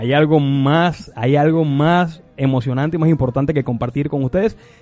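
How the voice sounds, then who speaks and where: Over music in the background, a man speaks with a fairly high pitch and ordinary pitch variation. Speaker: radio host. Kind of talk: radio show.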